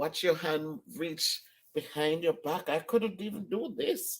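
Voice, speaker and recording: Delivered at a fairly slow pace, the speech has an animated tone and a Caribbean accent. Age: 60s. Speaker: vlogger. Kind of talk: casual vlog.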